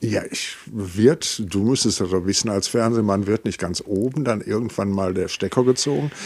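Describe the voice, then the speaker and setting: Hardly pausing, a man with a plain, everyday voice speaks at a moderate pace and a fairly low pitch, with ordinary pitch variation. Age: 60s. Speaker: musician and music school founder. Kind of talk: casual chat. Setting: in person in the same room.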